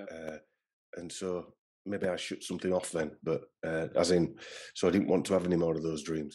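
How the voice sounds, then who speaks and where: Against a quiet background, a man with a very deep, low pitch and a dark, mellow tone speaks in a flat monotone. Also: moderate pace. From Northern England. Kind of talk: podcast interview answer. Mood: reflective, recalling childhood dream. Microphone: video call.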